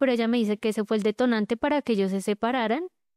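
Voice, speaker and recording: She has a normal speaking voice. This woman's pitch is fairly high and varies in an ordinary way. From Colombia, Bogotá. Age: 20s. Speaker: abuse survivor telling her story. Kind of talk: testimony.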